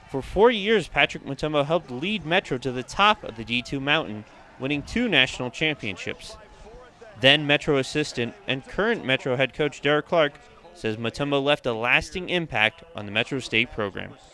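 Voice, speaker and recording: Using an ordinary speaking voice, a man with a fairly high pitch speaks at a moderate pace with lively intonation, the sound dry and close with no echo. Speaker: sports reporter and anchor. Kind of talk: TV sports news reporting.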